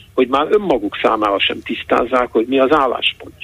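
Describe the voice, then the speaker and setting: A man of medium pitch speaks with ordinary pitch variation. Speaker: economist and university professor. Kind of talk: radio interview. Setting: phone call. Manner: hesitant, many fillers. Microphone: distant and faint line.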